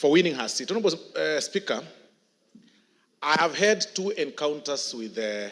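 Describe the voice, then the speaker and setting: Speaking at a moderate pace with a Kenyan accent, a man uses a fairly high pitch that swings very widely, broken by long, frequent pauses. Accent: Kisii Kenyan. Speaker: member of parliament. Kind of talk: parliamentary speech. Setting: parliament chamber.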